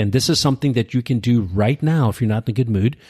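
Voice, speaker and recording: Somewhat breathy and medium in pitch, a man speaks in a very clean recording with a silent background and a dry, close sound with no echo. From Pakistani family background. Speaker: podcast host, entrepreneur. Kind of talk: casual chat. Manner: animated.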